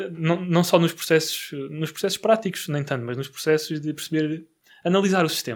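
Here is a man with an ordinary speaking voice. His pitch is fairly high with ordinary variation, and his pace is moderate. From Portugal, Barreiro. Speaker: podcast host, real estate investor. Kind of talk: casual interview. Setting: studio.

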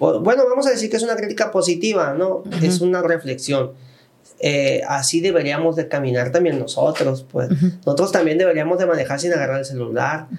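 High-pitched male speech at a fairly quick pace, lively in intonation and very even in loudness, over noticeable background noise. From Sinaloa, Mexico. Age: 30s. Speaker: podcast host and magazine director. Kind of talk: casual interview chat. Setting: studio.

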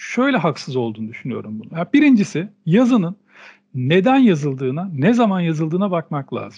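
At a fairly quick pace, a man speaks in a high voice that swings very widely in pitch. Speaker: podcast co-host. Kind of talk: casual discussion.

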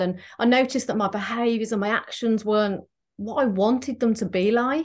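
A woman with an English accent, fairly high in pitch, at a moderate pace against a quiet background. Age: 40s. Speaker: transformational therapist. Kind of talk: casual chat.

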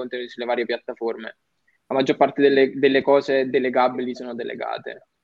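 Talking at a fairly quick pace, a man with an unremarkable speaking voice keeps his intonation fairly even. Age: young. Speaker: digital entrepreneur and content creator. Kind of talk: casual chat.

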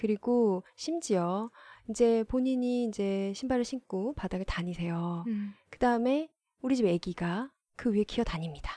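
Over a quiet background, a woman with a fairly high, dark and mellow voice speaks at a fairly slow pace with lively intonation and big swings in loudness, recorded dry and close with no echo. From South Korea. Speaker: former journalist. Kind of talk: casual chat.

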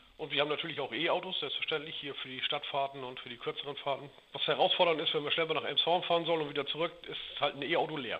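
Against noticeable background noise, a man speaks at a very fast pace with hardly any pauses, in a fairly high, monotone, flat voice. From Schleswig-Holstein, Dithmarschen (northern Germany). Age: 40s. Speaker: heating business owner. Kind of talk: interview.

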